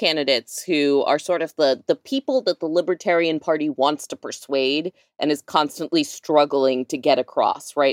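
Recorded with a dry, close sound and no echo, the speaker talks at a moderate pace with an American accent. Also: woman. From North Texas, Dallas suburbs. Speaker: activist, advocacy group co-founder. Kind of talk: casual chat.

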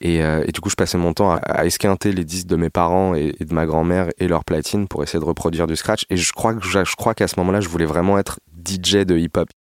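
A man speaks with a very deep, low pitch and monotone, flat intonation. The sound is dry and close, with no echo. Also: fairly quick pace, hardly any pauses. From Paris region, France. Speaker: musician. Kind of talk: personal storytelling. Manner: hesitant, many fillers.

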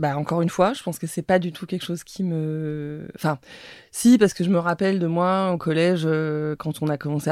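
A woman speaks at a fairly quick pace with fairly even intonation, on a very clean recording with a silent background. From Paris. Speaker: media founder. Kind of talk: interview. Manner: hesitant, many fillers.

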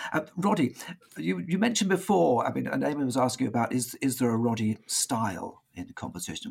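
A man with a British accent speaks at a medium pitch with vocal fry. His pitch swings very widely. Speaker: choir director. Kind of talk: casual chat. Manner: halting.

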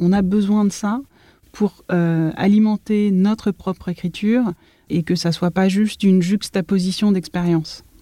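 A woman's medium-pitched voice with a dark, mellow tone, fairly even intonation and a dry, close sound with no echo. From Paris region, France. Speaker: architect. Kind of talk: interview.

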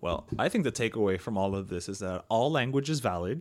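Speaking at a fairly quick pace, a man uses lively intonation with a Miami accent. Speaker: podcast co-host. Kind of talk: casual chat.

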